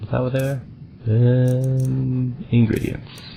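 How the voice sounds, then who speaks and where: Soft-spoken, a man talks at a fairly slow pace. Noticeable background noise runs underneath. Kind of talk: casual gameplay commentary. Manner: soft-spoken, quiet.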